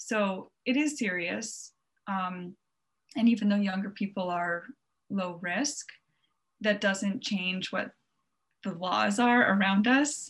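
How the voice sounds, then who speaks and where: Speaking at a very slow pace with long, frequent pauses, a woman uses a medium pitch and ordinary pitch variation. Her voice is somewhat breathy, with an American accent. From Long Island, New York. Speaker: travel blogger. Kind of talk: casual interview chat. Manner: frequent filler ums.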